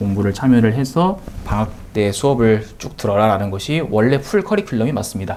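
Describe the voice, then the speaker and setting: Lively intonation runs through speech at a moderate pace, with noticeable background noise behind it. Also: man. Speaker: math tutor. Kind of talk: course information talk to parents.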